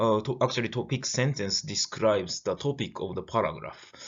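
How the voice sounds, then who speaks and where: Here a man talks with a Japanese accent. His pitch is medium and his pace moderate. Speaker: lecturer. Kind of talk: lecture. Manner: halting, many fillers.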